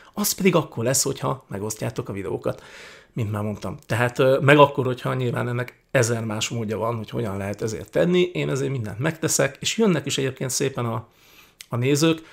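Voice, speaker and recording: Over a quiet background, a man with vocal fry talks at a fairly quick pace. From Hungary. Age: 40s. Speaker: YouTuber, political commentator. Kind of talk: casual Q&A monologue. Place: home room. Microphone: studio mic.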